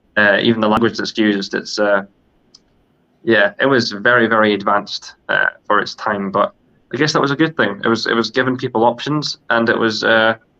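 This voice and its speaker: A man speaks fairly quickly at a medium pitch with a bright, sharp tone. His intonation is fairly even, and the sound is dry and close with no echo. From Scotland. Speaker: podcast co-host. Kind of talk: casual discussion. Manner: halting, many fillers and repeats.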